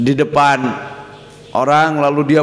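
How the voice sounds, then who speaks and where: A man speaks with a West Javanese accent. Noticeable background noise is present. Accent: Sundanese. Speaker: Islamic boarding school leader and cleric. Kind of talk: religious scripture lecture.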